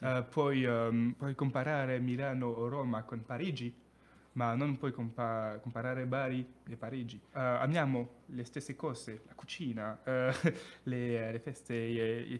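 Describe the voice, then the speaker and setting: Here a man speaks with a French accent at medium pitch. His intonation is monotone and flat. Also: fairly slow pace. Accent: French accent in Italian. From France, Périgueux (south-west). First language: French (speaking Italian). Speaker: Erasmus exchange student. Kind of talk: casual interview. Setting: radio studio. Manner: halting, hesitant.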